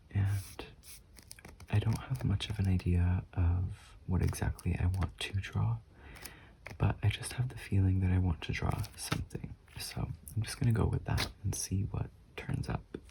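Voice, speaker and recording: Speech comes at a moderate pace in a calm tone, with long, frequent pauses. Noticeable background noise is present. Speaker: artist, sketchbook YouTuber. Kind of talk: casual talk to camera while drawing. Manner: soft-spoken, calm.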